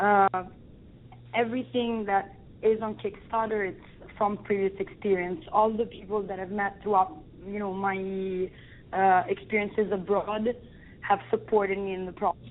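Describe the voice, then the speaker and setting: A woman speaks at a medium pitch with fairly even intonation. Her speech is broken by long, frequent pauses. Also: moderate pace. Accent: strong Italian. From Italy, Rome. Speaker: film director. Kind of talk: interview. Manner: halting.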